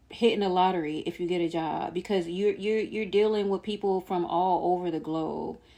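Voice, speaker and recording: A woman's dark, mellow tone against a quiet background. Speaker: vlogger sharing personal journey. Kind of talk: casual vlog monologue. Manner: stumbling, self-described stuttering.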